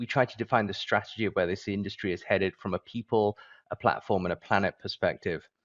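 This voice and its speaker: A man's fairly low voice with a British accent. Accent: British, with some American terms. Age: 40s. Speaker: business leader. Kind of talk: event presentation.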